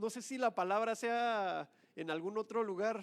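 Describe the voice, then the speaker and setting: In a very clean recording with a silent background, a man talks at a fairly slow pace. His pitch is extremely high. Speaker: guest preacher. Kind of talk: sermon.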